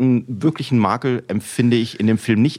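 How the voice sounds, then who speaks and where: In an ordinary speaking voice, a man talks at a moderate pace and medium pitch. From Rhineland, Germany. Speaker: musician. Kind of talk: casual chat.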